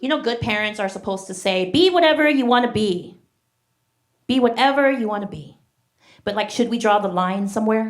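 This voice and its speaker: Speaking at a fairly quick pace with long, frequent pauses, a woman uses lively intonation at a fairly high pitch. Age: 40s. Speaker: stand-up comedian. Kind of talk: stand-up. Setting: stage with audience.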